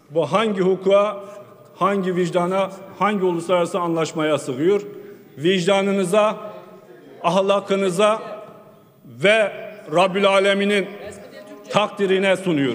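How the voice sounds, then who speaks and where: Against light background noise, a man with a high pitch talks at a fairly slow pace with long, frequent pauses, fairly even intonation and very even loudness. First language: Kurdish (speaking Turkish). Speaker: member of parliament. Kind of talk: parliamentary speech. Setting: parliament chamber. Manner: formal. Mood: earnest, appealing. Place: hall. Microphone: podium.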